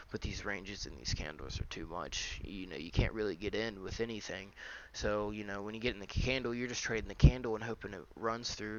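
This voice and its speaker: A man talks at a fairly quick pace with hardly any pauses. His pitch is fairly low. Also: big swings in loudness. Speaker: day trader doing market recaps. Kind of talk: screen-share market analysis. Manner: fast; casual with many fillers.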